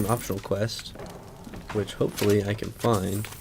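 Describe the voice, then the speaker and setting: With an American accent, a man talks while music plays behind him. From Pacific Northwest, USA. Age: young. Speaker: let's play youtuber. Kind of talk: casual gameplay commentary.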